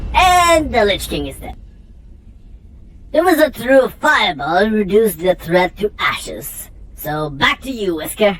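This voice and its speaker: A put-on character voice delivered at a moderate pace. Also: female-sounding voice, medium pitch for a woman. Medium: comedy sketch. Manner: breathless, excited.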